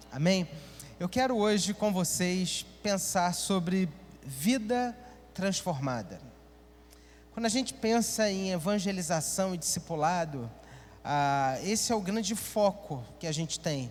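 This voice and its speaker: Audible room echo surrounds a man with a high pitch and lively intonation. He talks fairly slowly, with long, frequent pauses. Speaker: pastor. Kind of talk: sermon. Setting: church.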